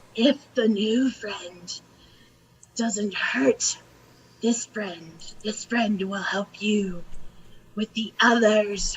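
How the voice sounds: Whispering in a put-on character voice, a female-sounding speaker goes very slowly with long, frequent pauses.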